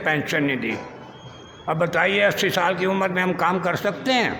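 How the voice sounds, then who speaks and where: This man's voice sits high for a man and is raised and projected, with fairly even intonation. Room echo is audible, and there is noticeable background noise. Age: 80s+. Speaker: pensioner. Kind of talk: complaint to press.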